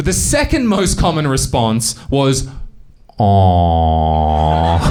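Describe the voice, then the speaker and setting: Speech comes at a very slow pace with very wide pitch swings and an Australian accent. The room echo is audible, and background noise is noticeable. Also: man, fairly low pitch for a man. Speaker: stand-up comedian. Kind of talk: stand-up.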